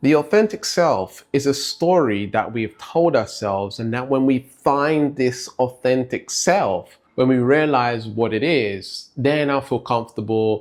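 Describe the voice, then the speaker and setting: A man with an American accent and medium pitch speaks at a fairly slow pace with ordinary pitch variation and hardly any pauses. The recording is very clean with a silent background. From Britain. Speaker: life coach. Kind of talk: motivational talk. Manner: conversational, frequent 'right?' fillers.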